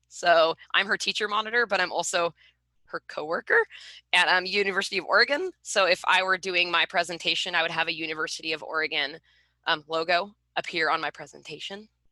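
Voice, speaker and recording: A woman talks at a fairly quick pace, her pitch rising and falling in an ordinary way. Her tone is bright and sharp, and the sound is dry and close with no echo. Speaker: research mentor for student interns. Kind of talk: webinar presentation. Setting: video call. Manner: fast; many filler words.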